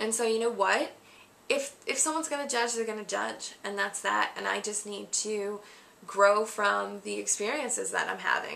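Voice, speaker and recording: A woman's shaky voice at a moderate pace. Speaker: vlogger. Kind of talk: Q&A vlog monologue.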